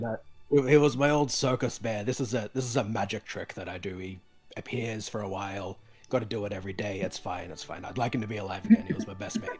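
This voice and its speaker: Over faint music in the background, a man uses a put-on character voice, raspy and fairly low in pitch, at a fairly quick pace. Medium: actual play. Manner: deadpan.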